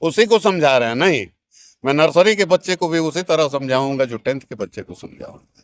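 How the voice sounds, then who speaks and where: A man speaks at a high pitch with ordinary pitch variation. The recording is very clean, with a silent background. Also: dry, close sound with no echo. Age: 70s. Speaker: school teacher. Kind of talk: interview.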